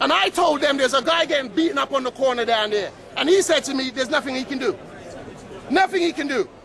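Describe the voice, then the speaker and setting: A loud, animated man's voice at an extremely high pitch and a very fast pace, amid noticeable background noise. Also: ordinary pitch variation. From London, Battersea. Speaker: local resident. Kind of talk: heated street argument.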